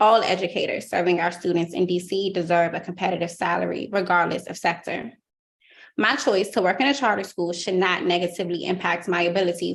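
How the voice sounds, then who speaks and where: A woman speaks very fast in a Washington DC accent at medium pitch. Her intonation stays fairly even against a quiet background. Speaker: teacher. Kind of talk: public testimony. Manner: formal.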